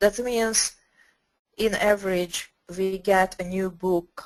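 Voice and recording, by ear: A woman speaks slowly at a medium pitch. Her intonation stays fairly even.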